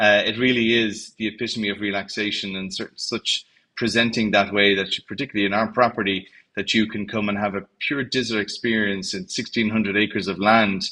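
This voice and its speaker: A man with an Irish accent speaks at a fairly quick pace, his fairly low voice bright and sharp in tone. His intonation is monotone and flat, and the background is quiet. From Ireland. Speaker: hotel general manager. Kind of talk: interview. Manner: hesitant, many fillers.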